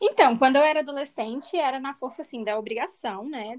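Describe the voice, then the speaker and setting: Talking fairly quickly with ordinary pitch variation, a woman has an unremarkable speaking voice. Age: 20s. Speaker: physiotherapist and conversation group facilitator. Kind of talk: interview.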